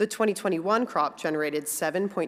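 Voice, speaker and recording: With lively intonation, a woman talks at a medium pitch. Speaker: industry executive giving a speech. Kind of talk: conference speech. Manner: fast.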